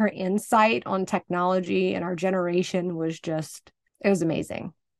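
Speaking at a moderate pace and medium pitch, a woman has a plain, everyday voice. The sound is dry and close with no echo, against a quiet background. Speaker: podcast co-host. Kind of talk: casual chat.

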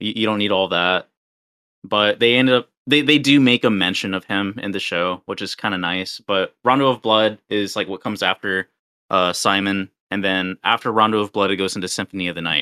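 An unremarkable speaking voice from a man, fairly low in pitch with ordinary variation, at a fairly quick pace. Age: 30s. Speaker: podcast co-host. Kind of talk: casual chat.

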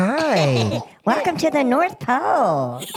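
A female-sounding voice performs a put-on character voice at a fairly high pitch. The pace is very slow. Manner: cheerful.

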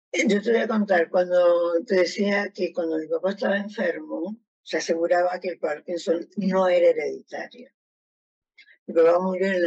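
Here is a normal speaking voice from a woman. Her pitch is fairly low and her intonation fairly even. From Argentina. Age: 60s. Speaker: retired educational psychologist, Parkinson's patient. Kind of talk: testimony.

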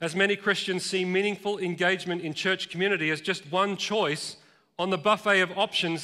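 Raised and projected, a man's high-pitched voice with an Australian accent moves at a fairly quick pace with fairly even intonation and a bright, sharp tone in a very clean recording with a silent background. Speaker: pastor. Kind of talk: sermon. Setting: church.

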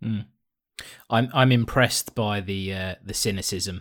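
In an ordinary speaking voice, a man with a fairly low pitch talks at a fairly slow pace with fairly even intonation, recorded very cleanly against a silent background. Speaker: podcast co-host. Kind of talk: casual chat.

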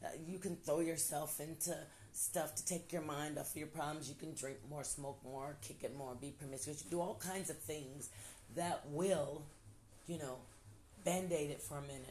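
Recorded with audible room echo, a woman with a very deep, low pitch and a somewhat breathy voice speaks at a moderate pace with ordinary pitch variation. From Ohio. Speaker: podcast host, motivational talker. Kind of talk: casual motivational monologue. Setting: at home by a window. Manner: animated, conversational with repetitions.

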